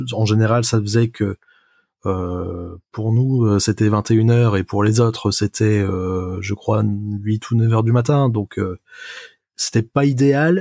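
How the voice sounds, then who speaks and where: The man's voice has a medium pitch, a dark, mellow tone and ordinary pitch variation, recorded dry and close with no echo. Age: 20s. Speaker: software developer. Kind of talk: casual chat. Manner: hesitant, many fillers.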